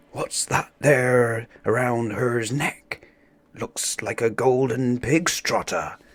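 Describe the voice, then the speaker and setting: A man's put-on character voice at medium pitch and a very slow pace. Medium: read story.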